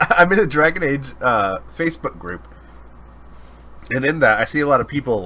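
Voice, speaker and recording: Fairly high-pitched and bright, with a sharp tone and vocal fry, a man's voice makes very wide pitch swings. He keeps a moderate pace, broken by long, frequent pauses. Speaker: podcast co-host. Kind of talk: casual chat. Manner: halting, filler-heavy.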